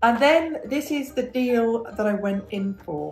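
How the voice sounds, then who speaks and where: Over faint music in the background, a woman speaks at a very slow pace with audible room echo. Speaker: home vlogger. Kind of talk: casual vlog chat. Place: kitchen. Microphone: phone near.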